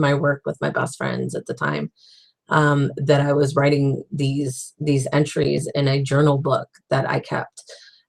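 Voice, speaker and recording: The speech is fairly slow, in a monotone, flat intonation, with a dry, close sound and no echo. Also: woman. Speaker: author and web series host. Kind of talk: casual video diary monologue. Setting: livestream chat. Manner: halting, with many fillers and restarts.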